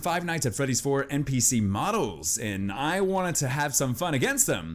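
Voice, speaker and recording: Here a man speaks at a moderate pace. His pitch swings very widely. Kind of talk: gameplay commentary.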